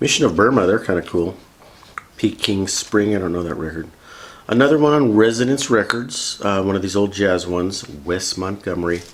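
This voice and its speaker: Noticeable background noise behind a man's fairly low voice, moderate in pace with ordinary pitch variation. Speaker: vinyl record YouTuber. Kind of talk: casual review rundown. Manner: casual, chatty.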